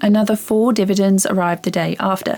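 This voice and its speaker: With music in the background, a woman with a British accent speaks at a moderate pace. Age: 30s. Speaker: beginner investor vlogger. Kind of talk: scripted narration.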